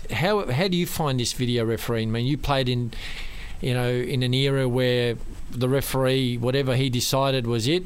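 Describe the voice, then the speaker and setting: Noticeable background noise sits behind a man talking at a fairly quick pace. His pitch is medium and his loudness very even. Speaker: radio host. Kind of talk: radio interview.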